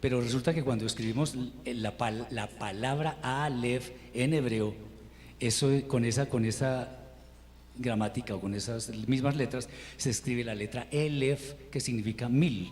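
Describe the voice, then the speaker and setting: Somewhat breathy and medium in pitch, a man speaks at a fairly slow pace with ordinary pitch variation amid audible room echo. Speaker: Hebrew teacher. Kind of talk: lecture. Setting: online class.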